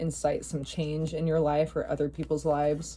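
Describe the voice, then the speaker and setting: A woman's very deep, low voice with a dark, mellow tone and vocal fry. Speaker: tarot reader. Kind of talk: channeled tarot reading. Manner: casual, many fillers.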